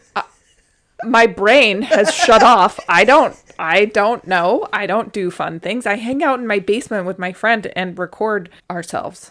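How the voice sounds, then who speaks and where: A woman with an American accent, an ordinary speaking voice, fairly high pitch, lively intonation and a fairly slow pace. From North Idaho. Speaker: podcast co-host. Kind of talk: casual chat. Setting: home basement recording.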